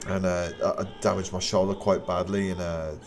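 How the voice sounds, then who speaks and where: The speaker is a man. Noticeable background noise is present. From West Midlands, England (Wolverhampton). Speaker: Muay Thai fighter and coach, live streamer. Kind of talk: casual live-stream commentary and chat. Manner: hesitant, many repetitions and fillers.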